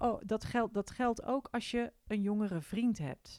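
A woman at a fairly slow pace. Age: 40s. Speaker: podcast host. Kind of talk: casual monologue. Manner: hesitant, many fillers.

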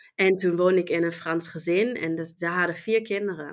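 The voice has a bright, sharp tone and a slight German accent. It moves at a moderate pace with ordinary pitch variation. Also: woman. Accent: near-native Dutch, slight German. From Germany. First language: German (speaking Dutch). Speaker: e-commerce professional. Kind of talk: interview. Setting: online call.

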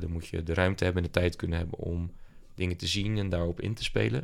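Speech at a fairly quick pace with ordinary pitch variation comes through in a very clean recording with a silent background. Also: man. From Netherlands, South Holland (Dordrecht area). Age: 20s. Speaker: entrepreneur. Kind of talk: casual chat. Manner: halting, many filler words.

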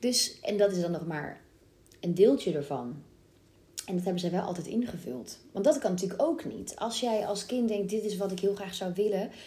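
At a moderate pace, a woman with medium pitch, lively intonation and a dark, mellow, somewhat breathy tone is heard with audible room echo. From Brabant, Netherlands. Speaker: musical theatre actress. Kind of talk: casual chat.

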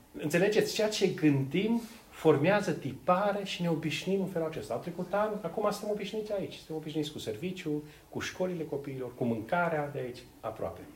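A man with a high pitch talks at a fairly quick pace. Audible room echo and noticeable background noise are present. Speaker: preacher. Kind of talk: sermon. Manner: halting.

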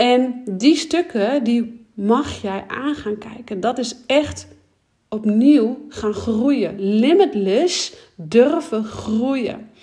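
Lively intonation marks this woman's fairly high voice. She speaks at a very slow pace. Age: 30s. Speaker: podcast host and business coach. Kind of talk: solo podcast monologue. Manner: animated.

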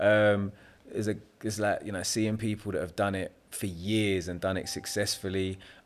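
A man with a South London accent speaks at a fairly low pitch and a moderate pace. His intonation is monotone and flat on a very clean recording with a silent background. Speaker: property developer. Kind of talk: casual chat. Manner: laid-back.

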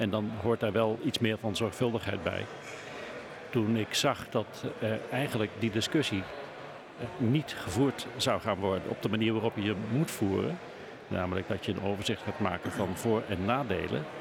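A man speaks at a moderate pace in a fairly low voice, with ordinary pitch variation. His loudness stays very even, and there is noticeable background noise. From Netherlands, South Limburg (Schinnen). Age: 60s. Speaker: local politician. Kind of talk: political interview. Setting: live podcast recording at a media festival, bar noise.

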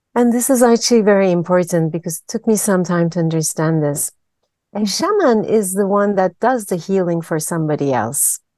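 Against a quiet background, a woman with a dark, mellow tone and medium pitch speaks at a fairly quick pace with lively intonation, in dry, close sound with no echo. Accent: Turkish. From Turkey. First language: Turkish. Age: 50s. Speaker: systemic therapist. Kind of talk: interview. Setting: video call.

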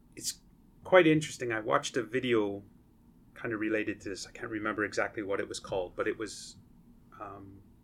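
Loudness swings widely, and the speech has long, frequent pauses. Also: man. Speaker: associate professor and engineer. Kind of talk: interview conversation. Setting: podcast recording room. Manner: explanatory, teaching-style.

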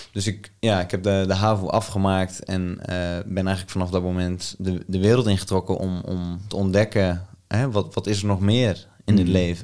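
Very deep, low-pitched man with monotone, flat intonation at a moderate pace, on a very clean recording with a silent background. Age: 20s. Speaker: men's coach. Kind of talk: interview. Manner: halting.

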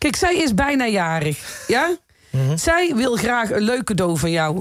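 Speaking with very wide pitch swings, a woman's voice climbs and drops sharply. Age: 50s. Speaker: radio host. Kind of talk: casual radio chat.

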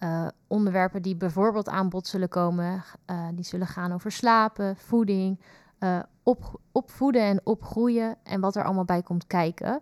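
A woman with a plain, everyday voice speaks at a medium pitch and a moderate pace, her intonation fairly even, in a very clean recording with a silent background and a dry, close sound with no echo. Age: 20s. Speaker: youth nurse and podcast co-host. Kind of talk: podcast introduction.

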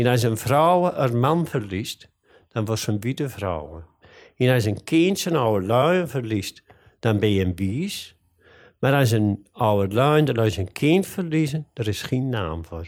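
On a very clean recording with a silent background, a man speaks at a very slow pace with very wide pitch swings. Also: medium pitch for a man. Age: 70s. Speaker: grave caretaker. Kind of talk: interview.

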